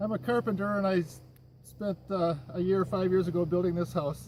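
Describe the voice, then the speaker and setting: With an Upper Midwest accent, a man speaks at a high pitch. His pace is moderate and his intonation fairly even. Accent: Upper Midwest American. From Minnesota, Minneapolis. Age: 60s. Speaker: carpenter, show applicant. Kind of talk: audition video interview.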